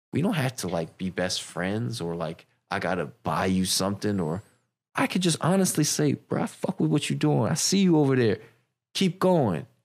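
A man with a DC area accent, fairly low pitch and very wide pitch swings, on a very clean recording with a silent background. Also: moderate pace. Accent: DC-area American English. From Silver Spring, Maryland (DC area). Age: 30s. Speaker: clothing brand owner. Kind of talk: casual chat.

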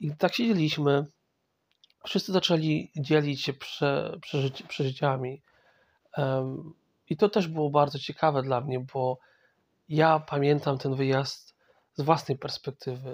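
The speech moves at a fairly slow pace with long, frequent pauses and ordinary pitch variation. The sound is dry and close with no echo, on a very clean recording with a silent background. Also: man, fairly high pitch for a man. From Poland, Masovia. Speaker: podcast host. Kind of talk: personal monologue. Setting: in bed at home. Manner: halting.

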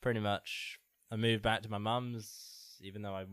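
In a very clean recording with a silent background, a man with an English accent speaks in a flat monotone. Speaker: podcast co-host. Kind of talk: casual chat.

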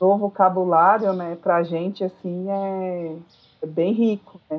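A woman with a Brazilian accent speaks at a medium pitch. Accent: non-São Paulo Brazilian. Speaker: school psychologist and teacher. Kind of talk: casual interview chat. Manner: hesitant, many fillers.

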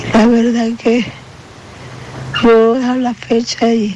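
Against noticeable background noise, a woman with a fairly high pitch talks very slowly in a monotone, flat way. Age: 40s. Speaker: patient asking for help. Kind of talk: testimony.

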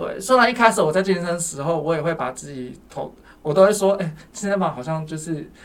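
A man's high-pitched voice at a fairly quick pace, with big swings in loudness and ordinary pitch variation. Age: 30s. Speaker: counselor at a men's support center. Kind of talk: casual interview chat.

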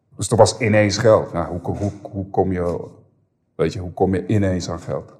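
A man's fairly slow, somewhat breathy speech keeps a fairly even intonation. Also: fairly low pitch for a man. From Amsterdam Bijlmer, Netherlands. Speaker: former rapper, podcast guest. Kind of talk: casual interview, personal story. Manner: hesitant, many repetitions.

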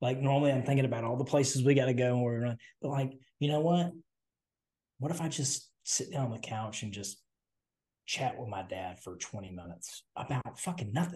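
A man with a Southern US accent talks at a fairly quick pace, his dark, mellow tone somewhat breathy and his intonation lively. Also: medium pitch for a man. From US South. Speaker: podcast co-host. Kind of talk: casual chat.

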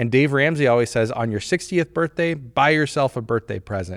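Spoken at a fairly quick pace with lively intonation, a normal speaking voice comes through dry and close with no echo on a very clean recording with a silent background. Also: man. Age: 30s. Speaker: insurance agency owner and podcast host. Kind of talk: casual chat.

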